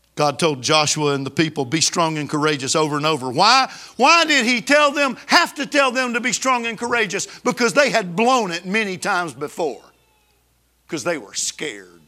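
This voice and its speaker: A man with an Alabama accent speaks at a high pitch with very wide pitch swings and a bright, sharp tone. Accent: Southern US (Alabama). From US South, Alabama. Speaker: pastor. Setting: church service with congregation. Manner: intense, emphatic, building crescendo that sounds almost angry; storytelling, conversational with fillers and restarts.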